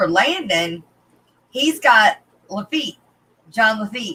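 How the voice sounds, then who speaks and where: A woman's fairly high, bright and sharp voice with very wide pitch swings at a very slow pace. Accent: Arklatex. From northern Louisiana (Arklatex area). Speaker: aquarium fish breeder and YouTuber. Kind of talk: casual interview chat. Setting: live stream video interview.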